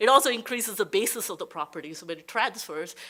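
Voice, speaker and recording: Her tone bright and sharp, a woman talks at a fairly quick pace. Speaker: tax law expert, panel presenter. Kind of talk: panel presentation. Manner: fast.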